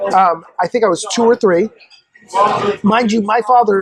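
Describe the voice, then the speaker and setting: Moderately paced, high-pitched speech from a man, with ordinary pitch variation over noticeable background noise. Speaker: podcast guest. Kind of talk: casual interview chat.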